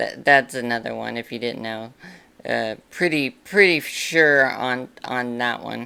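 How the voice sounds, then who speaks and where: This woman's voice is raspy and very deep, yet bright and sharp in tone. Her pitch moves with ordinary variation. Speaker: YouTuber. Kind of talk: casual commentary to camera. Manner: halting, filler-heavy.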